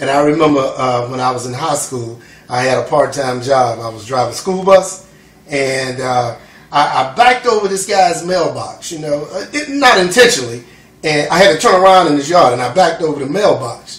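Lively intonation from a man with a fairly high pitch, at a fairly quick pace, with audible room echo. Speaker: son of the documentary subject. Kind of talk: interview answer. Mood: warm, amused, laughing. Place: kitchen.

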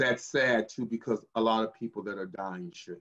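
The background stays quiet while a man talks. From US West Coast. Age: 60s. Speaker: physician assistant. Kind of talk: guest talk in a panel discussion. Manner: hesitant, many filler sounds. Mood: earnest, concerned. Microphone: video call.

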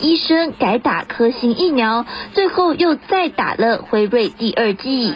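Amid noticeable background noise, a woman speaks at a high pitch and a fairly slow pace with lively intonation. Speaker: news reporter. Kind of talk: news voiceover.

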